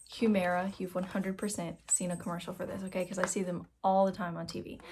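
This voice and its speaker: Soft-spoken and somewhat breathy, a woman talks at medium pitch on a very clean recording with a silent background. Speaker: vlogger with Crohn's disease. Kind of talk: casual vlog talk to camera.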